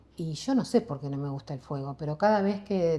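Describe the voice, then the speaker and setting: A woman's somewhat breathy voice with a fairly low pitch, a dark, mellow tone and lively intonation. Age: 60s. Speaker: psychologist and meditation teacher. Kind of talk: interview conversation.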